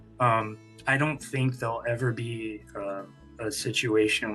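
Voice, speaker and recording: With music playing in the background, a man with an American accent speaks at a moderate pace in a fairly low pitch. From Fresno, California, USA. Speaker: newspaper managing editor. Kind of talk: interview answer. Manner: hesitant, many fillers.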